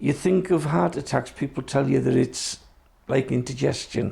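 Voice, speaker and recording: With lively intonation, a man talks at medium pitch in a dark, mellow tone that carries vocal fry. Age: 60s. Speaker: Traveller community health advocate. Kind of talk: personal testimony.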